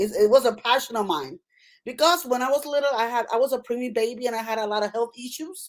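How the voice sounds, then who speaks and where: Over a silent background in a very clean recording, a woman speaks at a very fast pace in a Puerto Rican accent, her pitch high with ordinary pitch variation. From Puerto Rico. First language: Spanish. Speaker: nurse practitioner and author. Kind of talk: interview.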